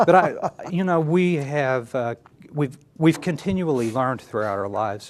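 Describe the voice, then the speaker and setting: In an American accent, a man with an unremarkable speaking voice talks at a moderate pace, fairly high in pitch with lively intonation. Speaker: county judge candidate. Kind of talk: TV interview.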